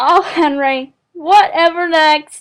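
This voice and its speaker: Putting on a character voice, a woman talks. Her pitch sits extremely high. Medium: fan dub. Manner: folksy, upbeat.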